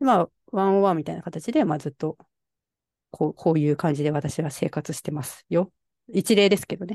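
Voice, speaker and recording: Dark and mellow, a woman's fairly low voice moves at a fairly quick pace with ordinary pitch variation. Her loudness swings widely in a dry, close sound with no echo. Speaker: podcast co-host, IT worker and mother. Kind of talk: casual chat. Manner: many fillers.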